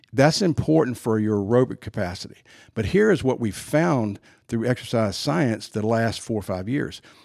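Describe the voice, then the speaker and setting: In a very clean recording with a silent background, a man with a normal speaking voice talks at medium pitch and a moderate pace, his pitch varying in an ordinary way. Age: 60s. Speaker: sports performance trainer. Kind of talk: casual chat. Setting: studio.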